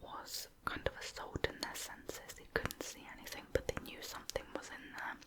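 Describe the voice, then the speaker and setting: Someone whispers with a British accent. Noticeable background noise is present. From United Kingdom. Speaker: ASMR creator. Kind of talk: true crime narration. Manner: soft-spoken.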